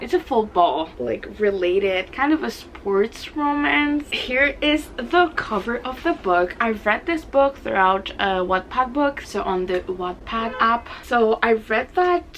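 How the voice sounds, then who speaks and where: Very wide pitch swings mark a very slow delivery with hardly any pauses, set against noticeable background noise. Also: woman, fairly high pitch for a woman. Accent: non-native. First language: not English. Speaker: book video creator. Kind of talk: casual vlog monologue. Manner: halting, self-correcting.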